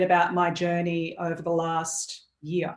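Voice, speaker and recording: A woman speaks at a medium pitch. She has an Australian accent. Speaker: executive coach. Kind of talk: casual chat.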